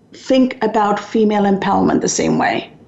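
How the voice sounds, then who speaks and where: Noticeable background noise behind a woman's speech, its pitch variation ordinary. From Sri Lanka. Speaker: radio talk show host. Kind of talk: talk radio interview. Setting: radio studio.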